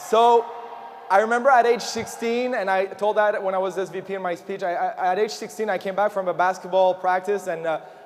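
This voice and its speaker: A man with a French Canadian accent, high-pitched and animated, at a fairly quick pace over noticeable background noise. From Quebec, Montreal. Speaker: motivational speaker. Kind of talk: motivational speech. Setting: stage with audience.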